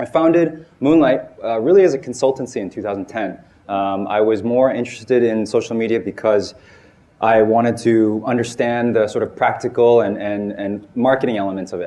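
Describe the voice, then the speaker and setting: With an American accent, a man talks at a fairly quick pace. His pitch is medium with ordinary variation. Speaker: marketing agency founder and seminar speaker. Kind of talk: seminar talk. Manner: halting, many repetitions and fillers.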